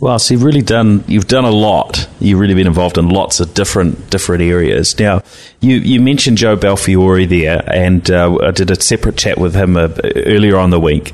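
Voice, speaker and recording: Very deep and low in pitch, a man with a New Zealand accent speaks at a fairly quick pace, with ordinary pitch variation and very even loudness. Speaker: tech podcast host and IT business owner. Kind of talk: casual interview. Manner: hesitant, many fillers.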